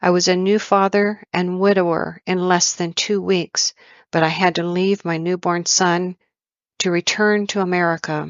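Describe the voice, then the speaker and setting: The speaker uses a put-on character voice at a middle pitch. The pace is moderate and the intonation monotone and flat. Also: female-sounding voice. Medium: read story.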